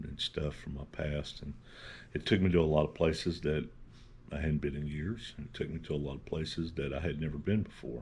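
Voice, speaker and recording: A man's very deep, low voice with vocal fry, fairly even intonation and a fairly quick pace. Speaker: channel host. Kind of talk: casual talk to camera.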